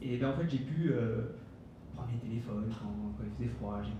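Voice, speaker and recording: A man talks at a moderate pace and medium pitch. Audible room echo surrounds his voice. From Mauritius. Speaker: business speaker. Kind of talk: conference talk. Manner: casual, hesitant with many fillers.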